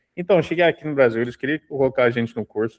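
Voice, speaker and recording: A man speaks with ordinary pitch variation. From Canada. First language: English (speaking Portuguese). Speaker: dentist. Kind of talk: casual chat.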